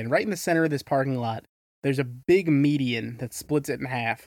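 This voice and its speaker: A man with a normal speaking voice, fairly high in pitch and fairly even in intonation, is heard in a very clean recording over a silent background. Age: 20s. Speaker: podcast co-host. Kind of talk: casual chat.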